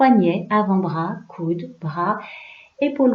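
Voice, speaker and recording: A woman speaks at a very slow pace in a calm, soothing, somewhat breathy tone. Her intonation is lively. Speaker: yoga nidra guide. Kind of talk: guided relaxation / yoga nidra. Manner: calm, slow, soothing.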